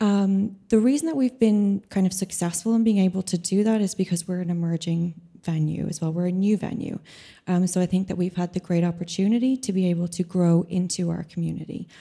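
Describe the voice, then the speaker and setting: On a very clean recording with a silent background, a woman with a medium pitch, a dark, mellow tone and a somewhat breathy quality speaks at a fairly quick pace with fairly even intonation. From Ireland. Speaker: composer and venue programmer. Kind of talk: panel discussion. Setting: stage with audience.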